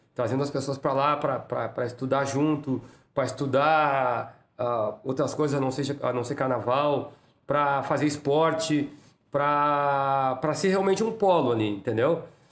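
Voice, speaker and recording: With a normal speaking voice, a man talks at a fairly slow pace in a fairly high pitch with ordinary pitch variation. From Porto Alegre, southern Brazil. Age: 50s. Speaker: samba school president. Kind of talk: casual interview.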